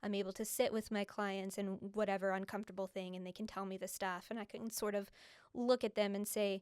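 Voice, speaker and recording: Very cleanly recorded against a silent background, a woman with an American accent speaks at a fairly quick pace. Her pitch is medium and her intonation monotone and flat. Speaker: copywriter and creative mentor. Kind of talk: podcast interview.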